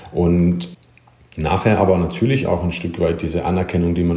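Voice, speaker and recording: Amid noticeable background noise and audible room echo, a man talks at a fairly quick pace with a very deep, low pitch in a monotone, flat delivery. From Germany, small village. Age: 30s. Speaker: former professional handball player, coach. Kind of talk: interview.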